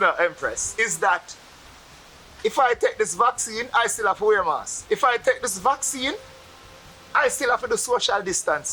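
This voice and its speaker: The speaker has a Jamaican accent. The pace is moderate. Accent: Jamaican patois. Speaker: Rastafarian interviewee. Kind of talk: interview.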